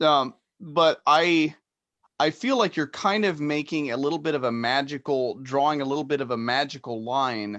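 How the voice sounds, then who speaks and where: A man with a plain, everyday voice talks at a moderate pace over a quiet background. His pitch is fairly high, with ordinary variation. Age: 30s. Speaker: podcast host. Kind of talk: casual chat. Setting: live stream.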